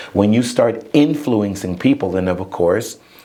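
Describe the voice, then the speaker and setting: A man speaks fairly slowly with ordinary pitch variation, noticeable background noise behind him. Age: 60s. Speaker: inspirational speaker and author. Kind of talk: interview.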